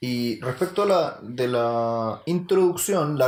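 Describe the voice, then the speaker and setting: On a very clean recording with a silent background, a man speaks in a fairly high pitch with lively intonation. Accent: Chilean. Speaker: podcast co-host. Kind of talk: casual chat.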